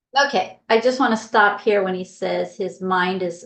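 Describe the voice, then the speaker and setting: Vocal fry runs through this woman's voice. Her pitch sits in the medium range. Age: 60s. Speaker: health coach. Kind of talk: video commentary.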